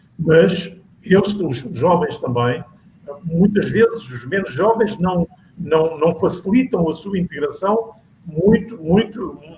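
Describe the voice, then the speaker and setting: A man's high-pitched voice at a very slow pace, over noticeable background noise. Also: lively intonation. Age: 70s. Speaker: panel guest on local politics talk show. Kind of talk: panel discussion. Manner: halting, many repetitions.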